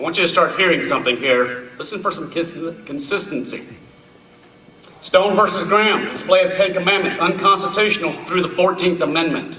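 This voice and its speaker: Loud and high-pitched, a man talks at a fairly quick pace amid noticeable background noise and audible room echo. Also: ordinary pitch variation. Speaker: speaker on constitutional history. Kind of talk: public talk. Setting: stage with audience.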